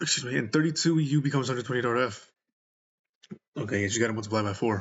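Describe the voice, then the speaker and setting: A somewhat breathy man talks at a very fast pace, his medium pitch showing ordinary variation. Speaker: gaming streamer. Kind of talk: let's play commentary; reading aloud. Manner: slurring.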